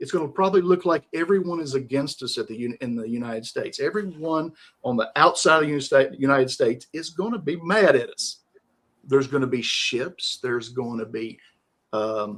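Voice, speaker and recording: Lively in intonation and fairly quick, a man with a Southern US accent speaks at a fairly high pitch. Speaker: live stream host. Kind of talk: casual interview chat. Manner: calm, rhythmic.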